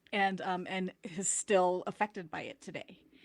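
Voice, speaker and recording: A woman's normal speaking voice, medium in pitch, at a fairly slow pace, on a very clean recording with a silent background. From US, Filipino immigrant family. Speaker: podcast guest. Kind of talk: casual chat.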